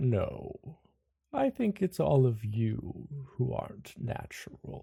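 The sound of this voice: Putting on a character voice, a man rumbles along at a very slow pace. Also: medium pitch for a man.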